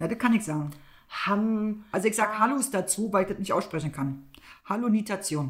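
The speaker has lively intonation and a somewhat breathy voice. The pace is fairly quick. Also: woman, medium pitch for a woman. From East Germany. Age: middle-aged. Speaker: podcast co-host. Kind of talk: casual chat.

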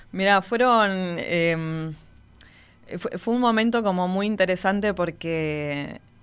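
A woman at medium pitch with ordinary pitch variation, a very slow pace and long, frequent pauses, on a very clean recording with a silent background. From Argentina, Patagonia (Río Gallegos). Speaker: orchestra conductor. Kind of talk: interview conversation.

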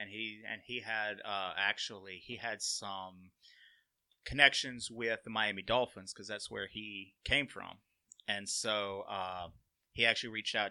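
A man's bright, sharp tone at a moderate pace. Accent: Alabama. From Alabama (Walker County area). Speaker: college sports equipment manager. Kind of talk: casual interview chat.

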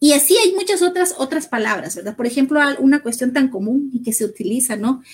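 Very wide pitch swings in a woman's high voice. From Guatemala, Sololá highlands. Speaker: human rights specialist. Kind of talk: interview.

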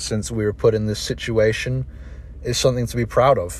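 The voice belongs to a man with a British accent. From England, raised in Dubai. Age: 20s. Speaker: podcast host and college swimmer. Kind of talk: scripted narration.

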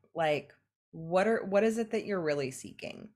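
A woman with a Californian accent, fairly low in pitch, lively in intonation, on a very clean recording over a silent background. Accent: Californian American English. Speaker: life coach and entrepreneur. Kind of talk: podcast interview.

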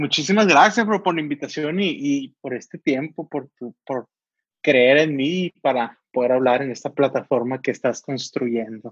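A man with an ordinary speaking voice talks at a fairly slow pace in a fairly high pitch with ordinary pitch variation, and the sound is dry and close with no echo. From Sonora, northern Mexico. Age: 20s. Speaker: volunteer helping homeless people. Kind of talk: casual chat.

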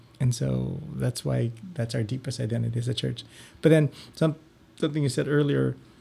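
A man with a medium pitch and a dark, mellow tone talks at a fairly quick pace, sounding somewhat breathy. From Philippines. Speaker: parish religious education director. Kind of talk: interview.

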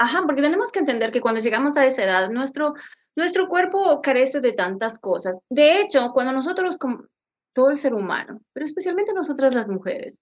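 The speech runs at a fairly quick pace with very wide pitch swings. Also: woman, high pitch for a woman. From Ecuador. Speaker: podcast host. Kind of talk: casual chat.

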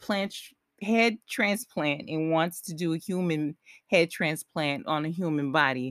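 Speaking at a fairly slow pace with lively intonation, a woman uses a normal speaking voice in a very clean recording with a silent background and a dry, close sound free of echo. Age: 40s. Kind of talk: solo podcast monologue. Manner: conversational, with fillers and restarts.

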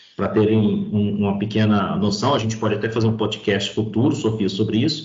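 With audible room echo, a somewhat breathy man talks at a fairly quick pace, his intonation fairly even and his loudness very even. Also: fairly low pitch for a man. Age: 40s. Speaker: road safety and claims specialist, retired highway police officer. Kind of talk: podcast interview.

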